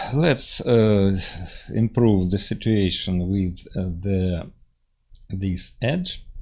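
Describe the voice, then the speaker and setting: With a Russian accent, a man speaks at a very slow pace in a dark, mellow tone, his fairly low pitch showing ordinary variation between long, frequent pauses. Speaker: engineering software teacher. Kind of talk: tutorial. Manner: halting, many fillers.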